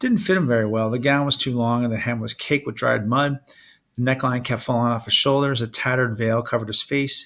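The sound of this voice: An unforced reading voice is heard throughout.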